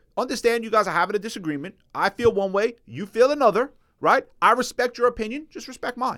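In a very clean recording with a silent background, a man speaks very fast at an extremely high pitch, his tone animated, bright and sharp, with ordinary pitch variation. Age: 40s. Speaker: podcast co-host. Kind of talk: casual chat.

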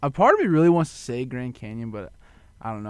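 Ordinary pitch variation marks this man's speech in a Kansas accent. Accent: rural Kansas. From western Kansas, Goodland/Colby. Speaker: sports show guest. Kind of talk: casual sports talk.

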